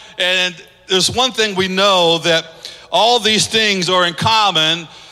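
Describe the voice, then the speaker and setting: A man speaks in a raised, projected voice at a high pitch with an animated tone. Noticeable background noise can be heard. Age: 50s. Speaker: pastor. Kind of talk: sermon.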